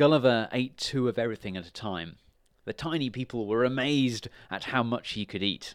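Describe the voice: The text is read aloud plainly, and its pitch varies in an ordinary way.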